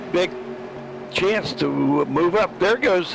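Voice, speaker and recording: A man's high-pitched, fairly slow speech amid noticeable background noise. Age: 70s. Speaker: sim racer and co-commentator. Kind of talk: live commentary.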